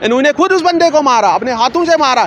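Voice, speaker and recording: Over crowd noise in the background, a man speaks at a moderate pace with lively intonation and an animated tone. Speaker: interviewee, alleged assault victim. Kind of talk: interview testimony. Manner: animated, repetitive.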